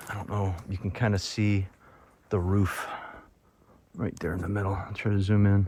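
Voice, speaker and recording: Speaking at a moderate pace, a man uses a fairly low pitch. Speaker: travel vlogger exploring ruins. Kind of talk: walking tour narration. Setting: outdoors on mountain trail. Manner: whispering; casual, conversational.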